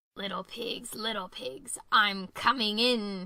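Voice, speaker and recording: Growling in a put-on character voice, a woman uses a menacing tone at a medium pitch and a fairly slow pace. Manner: growling, menacing.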